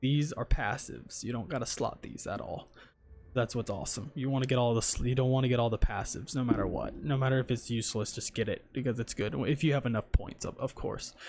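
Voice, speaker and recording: With vocal fry, a man speaks at a very fast pace and medium pitch. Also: ordinary pitch variation. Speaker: gaming YouTuber. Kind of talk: game tutorial. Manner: casual, filler-heavy.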